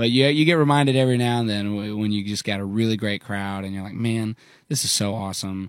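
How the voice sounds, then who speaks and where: Very fast delivery with ordinary pitch variation on a very clean recording with a silent background. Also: man, fairly low pitch for a man. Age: 20s. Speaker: country songwriter and singer. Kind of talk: casual chat. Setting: studio. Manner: halting.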